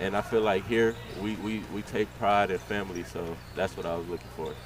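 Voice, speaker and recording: In an American accent, a plain, everyday voice moves at a fairly quick pace with ordinary pitch variation. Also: man, fairly low pitch for a man. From Texas. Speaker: college basketball player. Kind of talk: interview.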